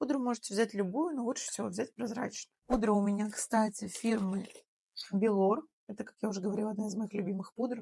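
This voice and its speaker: A woman talks at a fairly quick pace with fairly even intonation. Her tone is dark and mellow, and somewhat breathy. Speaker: makeup artist / beauty blogger. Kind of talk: tutorial.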